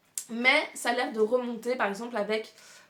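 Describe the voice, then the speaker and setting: Clearly audible background noise under a woman speaking at a moderate speed, her pitch on the high side. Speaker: booktuber. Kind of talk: casual video monologue presenting a reading challenge. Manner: many hesitations and fillers.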